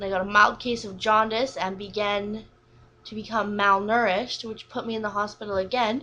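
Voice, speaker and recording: Moderate pace and a bright, sharp tone. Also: woman. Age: 20s. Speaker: vlogger sharing illness story. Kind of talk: personal testimony. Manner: unscripted, occasional stutter.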